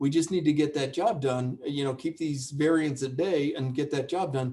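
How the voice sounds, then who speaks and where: A man with an American accent and an unremarkable speaking voice, at a fairly quick pace with fairly even intonation. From United States. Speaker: epidemiology professor. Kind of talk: webinar Q&A. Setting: online webinar.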